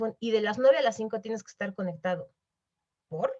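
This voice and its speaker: This woman's voice sits at a fairly high pitch. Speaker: webinar speaker on corporate responsibility. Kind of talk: webinar talk. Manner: fast; animated.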